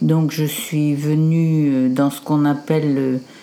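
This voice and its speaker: A woman speaks with a very deep, low pitch. Noticeable background noise is present. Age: 70s. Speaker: grandmother of the host. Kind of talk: casual family conversation.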